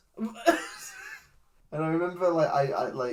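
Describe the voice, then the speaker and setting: In a put-on character voice, a man wheezes along at a very slow pace and a high pitch. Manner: wheezing laughter, hesitant.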